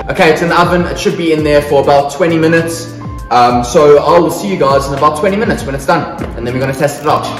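A man rattles along at a very fast pace while clear music plays in the background. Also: ordinary pitch variation. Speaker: cooking vlogger. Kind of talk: casual vlog chat. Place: kitchen.

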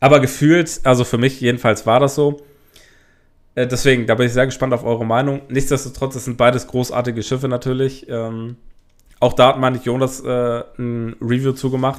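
Pitched at a medium level, a man speaks in a monotone, flat intonation. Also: moderate pace. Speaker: YouTuber reviewing toy sets. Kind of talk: casual video commentary. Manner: frequent filler hesitations.

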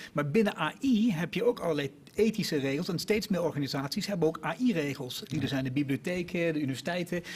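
Very fast and with hardly any pauses, a man talks. His voice is high-pitched with lively intonation. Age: 50s. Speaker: innovation executive; guest. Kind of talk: panel discussion. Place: studio. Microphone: podium.

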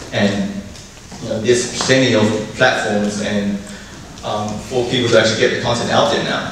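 Strong room echo and noticeable background noise surround a man with a fairly low pitch. He talks in a monotone, flat intonation with long, frequent pauses. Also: moderate pace. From New Zealand, Chinese-born 1.5 generation. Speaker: artist and festival founder. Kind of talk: conference talk. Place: hall.

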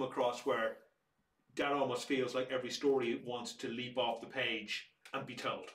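Audible room echo surrounds a man with an Irish accent. He keeps a moderate pace with monotone, flat intonation. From Ireland. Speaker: museum director. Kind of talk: casual chat.

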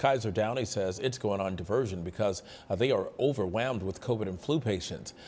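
Very fast and somewhat breathy, a man with a medium pitch speaks with lively intonation. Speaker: news anchor. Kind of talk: news reading. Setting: studio.

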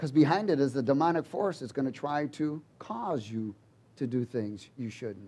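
A man is speaking. His intonation is lively. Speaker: preacher. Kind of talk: sermon. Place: church. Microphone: headset.

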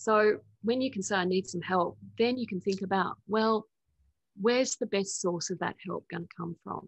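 Speaking at a moderate pace in an Australian accent, a woman sounds somewhat breathy, with ordinary pitch variation, big swings in loudness and long, frequent pauses, in a dry recording with no echo and a quiet background. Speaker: spiritual teacher and author; spiritual teacher. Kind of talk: interview. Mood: calm, reflective, gentle. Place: home room. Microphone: video call.

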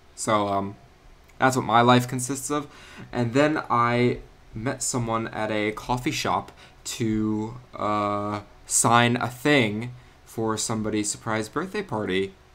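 Over a silent background in a very clean recording, a man speaks very slowly at a medium pitch with fairly even intonation. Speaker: gaming youtuber. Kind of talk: gameplay commentary. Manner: casual, with many fillers.

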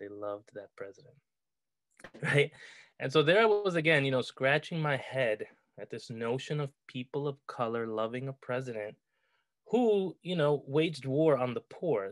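A man with an American accent at a moderate pace, against a quiet background. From New York. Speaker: poet and professor. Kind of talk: conversational talk at a poetry event. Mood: reflective, lightly amused. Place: home room. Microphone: webcam.

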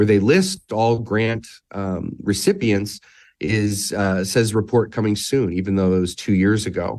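Recorded very cleanly with a silent background, a man with an American accent and an unremarkable speaking voice talks at a moderate pace, fairly low in pitch with ordinary pitch variation. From US Midwest. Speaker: filmmaker. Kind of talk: interview. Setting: studio.

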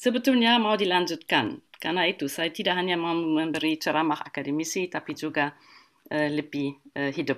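Against a quiet background, a woman with a German accent speaks fairly quickly at a fairly low pitch and with lively intonation. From Germany. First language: German (speaking Indonesian). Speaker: art historian; guest. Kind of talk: online lecture. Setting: video call webinar. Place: home room.

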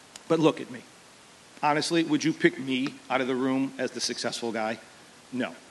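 Speaking at a fairly quick pace with long, frequent pauses, a man shows ordinary pitch variation and big swings in loudness over light background noise. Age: 40s. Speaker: teacher and football coach. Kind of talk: commencement speech. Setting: outdoor graduation ceremony with audience. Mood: humorous, self-deprecating. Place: stage. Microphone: podium.

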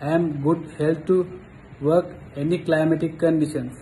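Speaking slowly in a monotone, flat intonation, a man with a Sri Lankan accent and fairly high pitch is heard over light background noise. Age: 30s. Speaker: job applicant, baking student. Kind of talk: self-introduction. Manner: formal. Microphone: phone near.

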